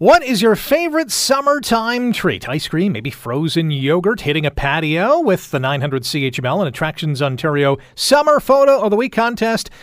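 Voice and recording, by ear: A high-pitched man with an upbeat tone, very wide pitch swings, a moderate pace and hardly any pauses, over noticeable background noise.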